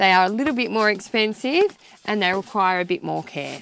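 A woman talks at a moderate pace with ordinary pitch variation. The sound is dry, with no echo. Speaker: presenter. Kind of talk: tutorial. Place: tent.

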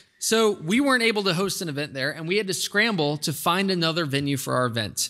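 The voice belongs to a man. His tone is bright and sharp, set against a quiet background. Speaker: host introducing keynote speaker. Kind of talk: formal introduction speech. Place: hall. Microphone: podium.

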